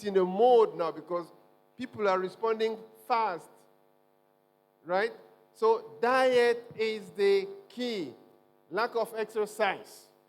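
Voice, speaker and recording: Music plays in the background while a man speaks at a high pitch. He talks at a very slow pace with long, frequent pauses. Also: ordinary pitch variation. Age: 60s. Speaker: medical doctor, guest health speaker. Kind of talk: health talk in church service. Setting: church. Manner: animated.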